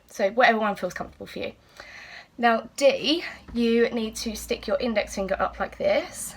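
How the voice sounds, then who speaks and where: A woman with an English accent at a moderate pace. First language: British Sign Language. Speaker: teacher. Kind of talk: tutorial.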